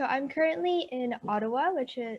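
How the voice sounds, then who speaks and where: Her intonation is lively as the woman speaks. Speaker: university student, school alumnus. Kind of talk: online panel Q&A.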